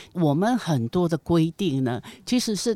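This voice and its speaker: Recorded very cleanly against a silent background with a dry, close sound and no echo, a woman speaks in a fairly low voice with very wide pitch swings. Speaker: retired nonprofit executive, elder advocate. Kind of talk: interview.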